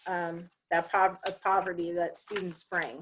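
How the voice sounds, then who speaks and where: The voice has a bright, sharp tone and an American accent. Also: woman. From West Virginia, Appalachia. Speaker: university diversity office staff, researcher. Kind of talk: academic talk, reading prepared remarks. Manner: frequent fillers, some self-corrections.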